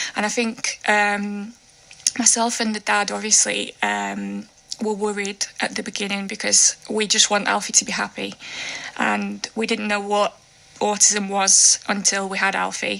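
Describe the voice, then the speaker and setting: Noticeable background noise fills the recording. A woman speaks at a fairly slow tempo. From Russia. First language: Russian. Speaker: children's book author. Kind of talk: radio interview. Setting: radio studio.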